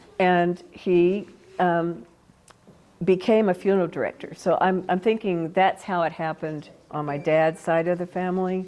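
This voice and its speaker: A woman with an American accent has a dark, mellow tone, a fairly low pitch and fairly even intonation, speaking at a moderate pace. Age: 70s. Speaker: felt artist and teacher. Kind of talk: oral history interview.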